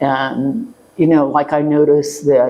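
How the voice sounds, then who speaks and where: A woman's very deep, low voice at a very slow pace. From US Midwest, Cincinnati and rural Butler County, Ohio. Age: 80s+. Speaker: retired educator. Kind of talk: oral history interview.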